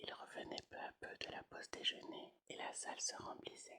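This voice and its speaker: Whispering, a woman speaks at a very slow pace. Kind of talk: whispered ASMR audiobook reading. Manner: whispered.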